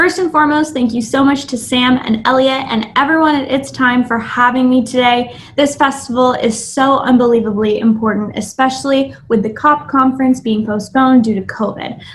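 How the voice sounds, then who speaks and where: A woman with a South Florida accent speaks at a high pitch and a moderate pace, with hardly any pauses. Her pitch varies in an ordinary way over noticeable background noise. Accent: American, South Florida. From US South, Miami, Florida. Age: 20s. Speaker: climate activist. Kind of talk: talk.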